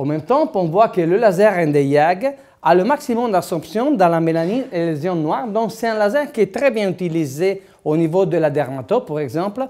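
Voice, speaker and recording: A man with an Italian accent speaks at a moderate pace in a high, dark, mellow voice. His pitch swings very widely, and the recording is very clean with a silent background. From Italy. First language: Italian (speaking French). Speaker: dentist lecturer. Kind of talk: lecture. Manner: halting, many hesitations.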